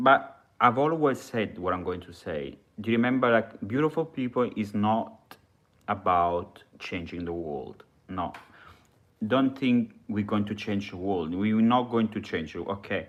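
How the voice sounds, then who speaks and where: Speaking in an Italian accent, a man uses lively intonation and a fairly low pitch at a fairly slow pace. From Italy. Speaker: live streamer. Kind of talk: live stream monologue. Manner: halting.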